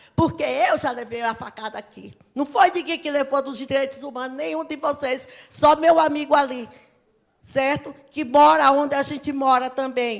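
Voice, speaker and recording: A woman's high-pitched voice at a moderate pace, with ordinary pitch variation and big swings in loudness. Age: 60s. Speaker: local resident. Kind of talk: public meeting speech. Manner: emotional, agitated.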